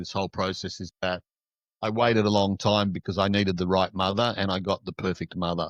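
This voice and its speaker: This man's voice sits fairly low and moves at a fairly quick pace. The sound is dry and close, with no echo. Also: quiet background. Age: 60s. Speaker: shadow work coach. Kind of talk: casual interview chat. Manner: halting, many fillers.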